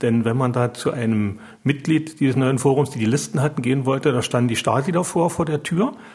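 With a medium pitch and ordinary pitch variation, a man talks at a fairly quick pace in a somewhat breathy voice. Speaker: surgeon. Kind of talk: interview.

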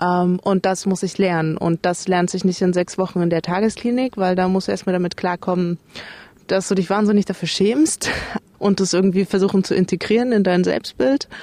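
Her dark, mellow tone at a medium pitch holds very even loudness as this woman speaks at a moderate pace with fairly even intonation, in a dry, close sound with no echo. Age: 30s. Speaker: recovering alcoholic. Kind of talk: interview testimony.

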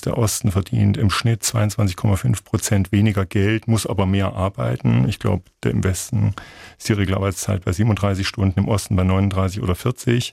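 With vocal fry and a fairly low pitch, a man talks at a moderate pace with ordinary pitch variation, recorded dry and close with no echo. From Thuringia, eastern Germany (Gotha). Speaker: literature professor and author. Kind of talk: radio interview.

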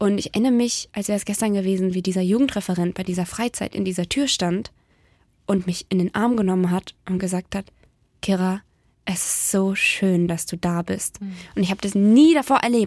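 A woman speaks at a medium pitch with ordinary pitch variation, her voice sounding dry and close with no echo. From Baden-Württemberg, near Ravensburg. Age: 20s. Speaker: beauty pageant winner and youth worker. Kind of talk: casual radio interview. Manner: fast, gushing.

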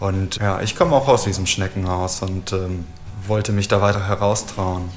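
A man with a fairly low pitch speaks at a moderate pace and in a fairly even intonation, with noticeable background noise behind him. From Cologne, Germany. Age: 30s. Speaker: chimney sweep. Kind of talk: interview testimony.

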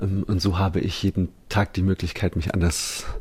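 A man speaks at a moderate pace with a very deep, low pitch. His voice is somewhat breathy. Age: 30s. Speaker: musician. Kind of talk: interview.

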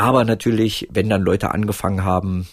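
A man talks in a very deep, low pitch. There is a somewhat breathy edge to his voice. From East Germany, Roßlau and East Berlin. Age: 40s. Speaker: author and filmmaker. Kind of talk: casual interview. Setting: remote call with headset.

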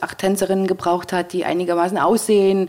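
This woman talks at a very fast pace. Noticeable background noise runs under her voice. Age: 40s. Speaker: event manager. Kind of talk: interview. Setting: at her home.

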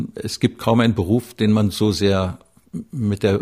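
In a very clean recording with a silent background, a man with vocal fry talks at a fairly slow pace, his fairly low pitch showing ordinary variation. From East Germany. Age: 70s. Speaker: film director. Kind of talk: interview.

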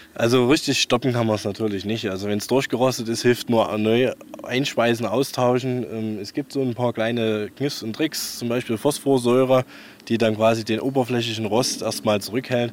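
Noticeable background noise accompanies a man of medium pitch who speaks at a moderate pace with fairly even intonation. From Saxony, Leipzig. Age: 30s. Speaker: tractor collector. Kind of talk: casual interview. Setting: in his workshop.

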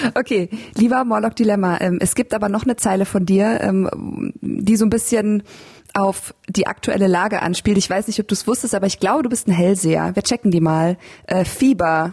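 A woman's somewhat breathy voice at very even loudness, dry and close with no echo. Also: medium pitch for a woman, ordinary pitch variation, moderate pace. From Lower Bavaria, Germany (Landshut). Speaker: podcast host and rapper. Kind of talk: casual interview.

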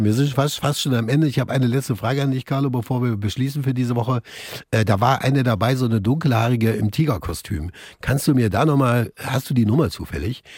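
Speaking at a very fast pace, a man sounds somewhat breathy, with ordinary pitch variation. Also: medium pitch for a man. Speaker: radio host. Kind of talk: casual chat. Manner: animated.

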